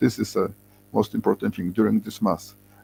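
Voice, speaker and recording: A man with a Polish accent speaks with music in the background. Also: dry, close sound with no echo. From Poland. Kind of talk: interview. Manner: halting.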